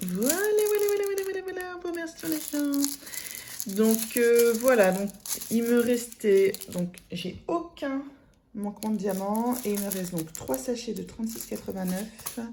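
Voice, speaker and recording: Very wide pitch swings mark this fairly slow delivery, heard with audible room echo. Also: woman, fairly high pitch for a woman. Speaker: craft vlogger. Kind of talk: casual vlog chat. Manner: hesitant, many fillers.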